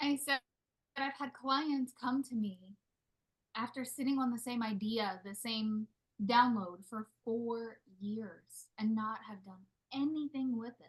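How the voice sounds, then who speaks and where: The quiet speech moves at a fairly slow pace, with long, frequent pauses and big swings in loudness. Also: woman, fairly high pitch for a woman, ordinary pitch variation. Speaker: spiritual business coach. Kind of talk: live group coaching call. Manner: quieter.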